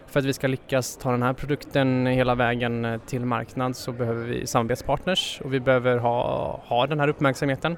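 Against noticeable background noise, a man talks in a monotone, flat intonation at a medium pitch and moderate pace. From Sweden. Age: 20s. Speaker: development engineer. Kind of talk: interview.

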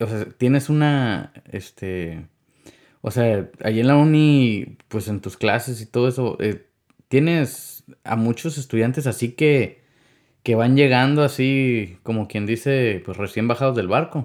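Very slowly, a man speaks in a very clean recording where the background is silent. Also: medium pitch for a man, ordinary pitch variation. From Mexicali Valley, Baja California, Mexico. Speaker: podcast host. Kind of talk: casual chat. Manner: halting, many fillers.

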